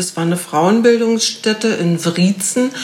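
A woman talks at a fairly slow pace with ordinary pitch variation. There is noticeable background noise. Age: 50s. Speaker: physiotherapist and fasting coach. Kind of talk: casual interview. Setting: in person in Berlin.

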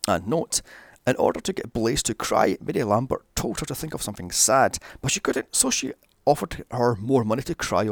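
What you hear is a natural reading voice. Nothing else is described.

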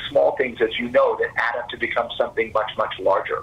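A man with an American accent speaks against noticeable background noise. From Texas, Fort Worth. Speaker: investment conference founder. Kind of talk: business interview.

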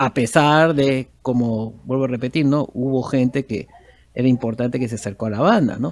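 A man, using an ordinary speaking voice, talks at a moderate pace and his pitch varies in an ordinary way. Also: medium pitch for a man. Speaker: musician. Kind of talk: interview.

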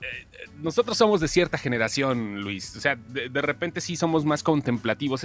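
Over music in the background, a voice with a Mexican accent moves at a moderate pace through very wide pitch swings. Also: man. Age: 40s. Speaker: pop culture commentator. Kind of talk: casual chat.

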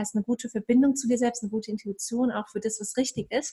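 A woman speaks in a calm tone at a fairly high pitch. Her pace is fairly quick and her intonation fairly even. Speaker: meditation and ayurveda coach. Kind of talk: casual chat.

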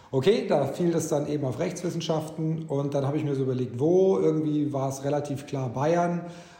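A man talks at a fairly quick pace and a fairly high pitch, with ordinary pitch variation. Noticeable background noise and audible room echo are present. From Egypt (German school in Cairo), early childhood Bavarian Swabia. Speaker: corporate lawyer. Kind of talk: interview. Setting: video call.

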